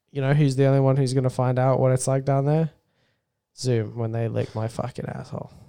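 Fairly quick and monotone, a man with an Australian accent talks at a medium pitch in a dark, mellow tone with flat intonation. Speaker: podcast co-host. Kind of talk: casual chat.

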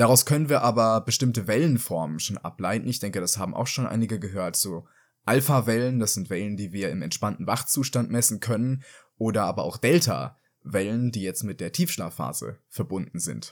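An unremarkable speaking voice from a man, medium in pitch, with lively intonation at a moderate pace, in a very clean recording with a silent background. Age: young. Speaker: psychology student. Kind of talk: explanatory interview.

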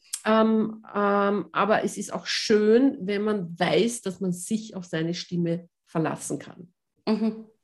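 At a very slow pace, a woman with a medium pitch and somewhat breathy voice keeps her intonation fairly even while her loudness swings widely. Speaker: voice coach and pianist. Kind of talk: interview.

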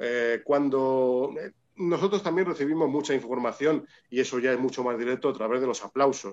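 A man speaks at medium pitch and a moderate pace, with very even loudness and ordinary pitch variation. The background is quiet. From Spain, Madrid. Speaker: orchestra conductor. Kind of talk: interview. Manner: halting, many repetitions.

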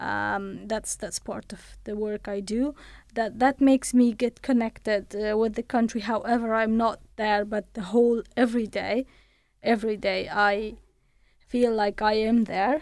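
A fairly high-pitched woman's voice with an Afghan accent, monotone and flat, at a fairly slow pace, on a very clean recording with a silent background. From Afghanistan. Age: 30s. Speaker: human rights researcher and reporter. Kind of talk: interview. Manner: halting.

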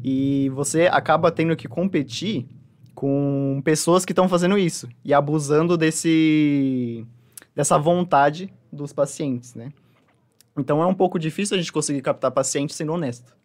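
An ordinary speaking voice, a man's, fairly high in pitch, at a moderate pace with ordinary pitch variation. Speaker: nutritionist. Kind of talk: interview.

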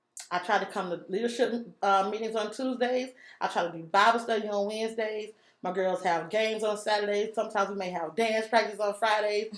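A normal speaking voice from a woman, fairly high in pitch, at a fairly quick pace with fairly even intonation, on a very clean recording with a silent background. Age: 30s. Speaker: guest, single mother of four. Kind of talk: casual chat.

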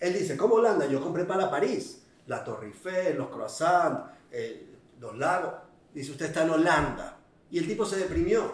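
A man's moderately paced speech carries audible room echo over noticeable background noise. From Venezuela. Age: 40s. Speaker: businessman. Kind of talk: interview storytelling.

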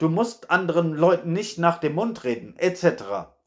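Speaking at a fairly slow pace, a man with a high voice uses lively intonation. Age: 30s. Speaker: podcaster. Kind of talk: solo monologue. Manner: casual, frequent fillers.

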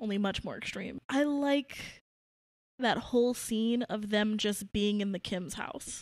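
A woman's unremarkable speaking voice, fairly high in pitch and fairly slow, with ordinary pitch variation and a dry, close sound with no echo. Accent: American. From Brooklyn, New York. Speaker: podcast co-host, film reviewer. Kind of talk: casual chat.

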